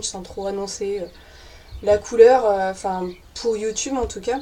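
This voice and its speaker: A woman speaks at a fairly high pitch. Noticeable background noise sits behind her. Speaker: YouTuber on witchcraft and paganism. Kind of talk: casual vlog. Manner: spontaneous, many hesitations.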